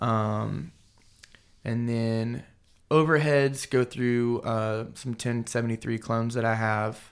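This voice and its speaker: With an American accent, a man talks at a fairly slow pace and medium pitch on a very clean recording with a silent background. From Texas. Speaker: session drummer and studio producer. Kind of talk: casual interview chat. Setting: studio.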